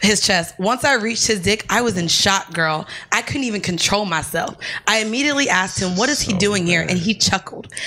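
A woman with an American accent talks at a fairly quick pace in a medium pitch with ordinary pitch variation. Noticeable background noise runs behind her. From Florida. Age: 20s. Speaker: podcast co-host. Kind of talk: casual chat. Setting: studio.

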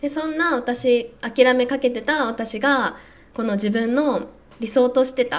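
A woman talks with a high-pitched voice. Her pitch variation is ordinary. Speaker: podcaster. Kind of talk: solo podcast monologue, casual. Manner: warm, conversational.

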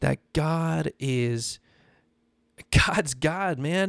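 Here is a plain, everyday voice with ordinary pitch variation. The recording is very clean and dry, close with no echo, over a silent background. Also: man. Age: 20s. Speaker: podcast host, former pastor. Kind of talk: devotional podcast monologue. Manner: casual, conversational.

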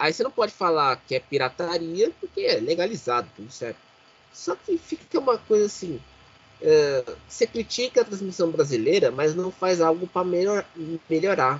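The man's pitch is high and his intonation lively. He speaks at a moderate pace. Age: 30s. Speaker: podcast host. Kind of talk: casual chat.

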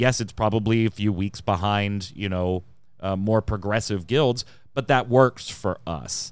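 A man with a fairly low voice talks at a fairly slow pace with ordinary pitch variation. The recording is very clean, the background silent. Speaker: podcast host. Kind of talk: casual chat. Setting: live stream studio. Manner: chatty, energetic.

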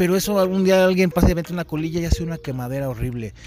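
With music playing in the background, the voice moves at a fairly quick pace with lively intonation. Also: man. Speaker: podcast host. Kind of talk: casual chat. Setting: outdoors. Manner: animated.

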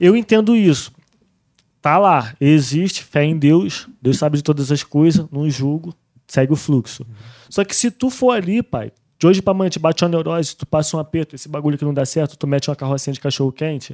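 With an ordinary speaking voice, a man speaks at a fairly quick pace and a fairly high pitch, his intonation lively and the sound dry and close with no echo. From Brazil, Rio de Janeiro state (Rio and Barra do Piraí). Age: 30s. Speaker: trap musician. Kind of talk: casual chat.

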